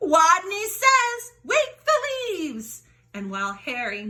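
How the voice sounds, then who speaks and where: A woman does a squeaky put-on character voice at an extremely high pitch, with very wide pitch swings and a fairly slow pace. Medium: read story.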